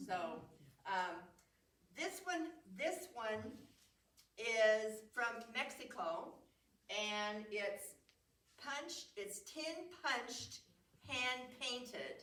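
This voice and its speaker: A woman speaks loudly at a high pitch, with very wide pitch swings. Her pace is very slow, with long, frequent pauses, and room echo is audible. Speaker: museum program presenter showing nativity sets. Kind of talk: show and tell talk. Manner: halting.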